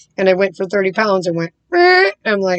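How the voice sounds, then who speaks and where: A woman's animated tone at a medium pitch. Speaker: life coach vlogger. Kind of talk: casual vlog monologue. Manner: fast.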